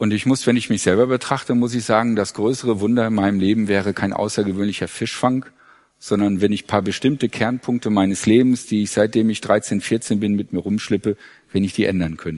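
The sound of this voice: The voice moves at a fairly quick pace with fairly even intonation and a slightly mellow tone. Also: man, fairly low pitch for a man.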